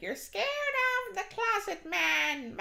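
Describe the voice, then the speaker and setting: Over light background noise, a put-on character voice speaks fairly slowly at an extremely high pitch. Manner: menacing, mocking.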